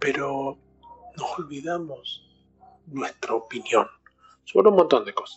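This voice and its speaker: A fairly slow pace with long, frequent pauses. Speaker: podcaster. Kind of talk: reflective solo monologue.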